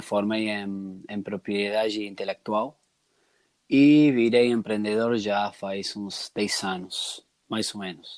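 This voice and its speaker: Speaking at a very slow pace and medium pitch, a man with a slight Argentine accent is heard in a very clean recording with a silent background. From Argentina. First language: Spanish (speaking Portuguese). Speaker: entrepreneur and customer researcher. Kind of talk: podcast interview. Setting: recorded conversation with some noise. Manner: halting, with restarts.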